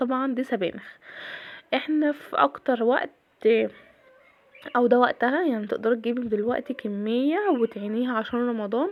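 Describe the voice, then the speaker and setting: The speaker has an Egyptian accent. The pace is moderate. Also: woman. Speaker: cooking and daily-routine vlogger. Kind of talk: casual vlog narration. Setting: home kitchen.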